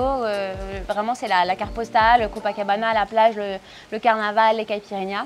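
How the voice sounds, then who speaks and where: Music plays in the background as a woman talks at a fairly quick pace. Her voice sits fairly high. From France. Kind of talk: interview answer. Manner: casual, hesitant.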